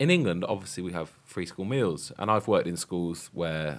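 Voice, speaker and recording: A man with a British accent, very deep and low in pitch, at a fairly quick pace. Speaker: podcast host, primary teacher. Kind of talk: casual discussion podcast.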